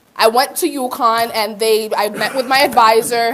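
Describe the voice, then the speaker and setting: Over noticeable background noise, a woman speaks at a fairly slow pace, her fairly high pitch moving with ordinary variation. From Puerto Rico. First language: Spanish. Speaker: community college student. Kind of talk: conference presentation, personal testimony. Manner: casual, many fillers.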